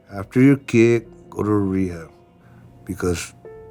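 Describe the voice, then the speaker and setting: Music plays in the background as a man speaks at a fairly low pitch. His intonation stays fairly even. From Mexican-American neighborhood, USA. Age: 60s. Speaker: recovering addict, former prisoner. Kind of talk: documentary interview testimony. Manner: emotional, casual.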